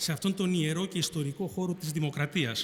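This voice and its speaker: A man at a fairly quick pace, high in pitch, with ordinary pitch variation. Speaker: retired army general and speaker. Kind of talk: formal speech. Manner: formal.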